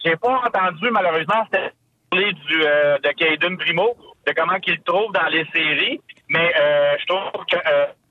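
Keeping a very even loudness, a man speaks slowly-ish in a high pitch with ordinary pitch variation. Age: 40s. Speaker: caller. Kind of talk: casual chat. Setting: phone call.

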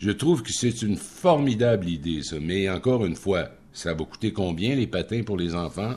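With lively intonation and an unremarkable speaking voice, a man talks at a moderate pace in a fairly low pitch. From Quebec, Rimouski area. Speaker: radio commentator. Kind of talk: casual chat.

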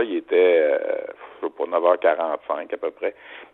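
Noticeable background noise fills the recording. A man is the one talking. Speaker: sports broadcaster. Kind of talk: phone interview. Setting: at home. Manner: halting.

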